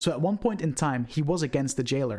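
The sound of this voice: Fairly quick and lively in intonation, a man's slightly mellow tone at a fairly high pitch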